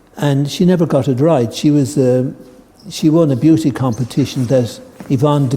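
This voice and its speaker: With noticeable background noise around him, a man's medium-pitched voice shows ordinary pitch variation. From Ireland. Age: 70s. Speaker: tai chi teacher. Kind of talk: talk to a group. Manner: hesitant, with many fillers.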